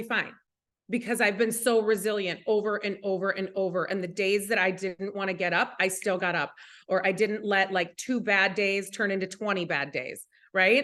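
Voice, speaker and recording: A woman with an Upper Midwest accent talks at a moderate pace in an animated, bright, sharp tone. The background is quiet. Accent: Upper Midwest American. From US Midwest, Minnesota. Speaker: network marketing leader. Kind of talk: motivational talk.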